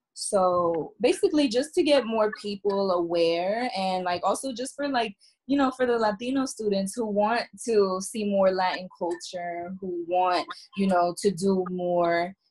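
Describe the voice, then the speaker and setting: The woman speaks at a fairly slow pace, and the background is quiet. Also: ordinary pitch variation. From New Jersey. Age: 20s. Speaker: university student. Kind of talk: casual chat. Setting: video call. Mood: candid, reflective. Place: home room. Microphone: video call.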